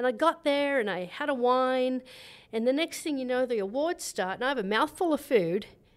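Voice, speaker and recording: Australian accent, warm tone, lively intonation and a fairly quick pace. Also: woman, high pitch for a woman. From Australia, New South Wales. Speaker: resort food and beverage director, chef. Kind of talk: casual interview. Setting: at ski resort lodge. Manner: warm, laughs often.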